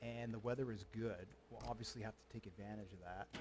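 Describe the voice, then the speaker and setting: Fairly quick pace with a somewhat breathy sound. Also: man. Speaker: gaming streamer. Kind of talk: gameplay commentary. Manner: halting.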